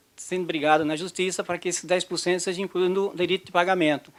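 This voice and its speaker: A man holds fairly even intonation at a high pitch. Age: 60s. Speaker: retired hospitality worker. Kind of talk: recorded question.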